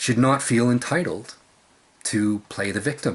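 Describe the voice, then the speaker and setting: A man speaks at a medium pitch. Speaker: video blogger. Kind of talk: personal monologue vlog. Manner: loud.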